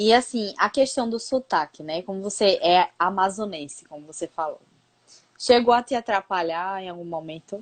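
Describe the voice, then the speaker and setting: A woman speaks with a Pernambuco accent and ordinary pitch variation. The sound is dry and close with no echo, over a quiet background. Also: medium pitch for a woman, moderate pace, big swings in loudness. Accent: Pernambuco accent, noticed by others. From Pernambuco, Brazil. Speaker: interviewer. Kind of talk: casual interview. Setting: Instagram live video call.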